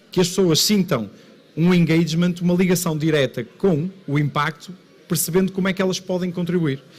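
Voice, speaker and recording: This man speaks in a high pitch with a northern Portuguese accent. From northern Portugal. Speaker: local council president. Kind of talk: conference talk. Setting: stage with audience.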